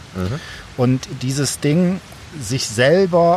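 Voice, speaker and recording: A man's voice against noticeable background noise. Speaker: education lecturer and podcaster. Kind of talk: casual chat.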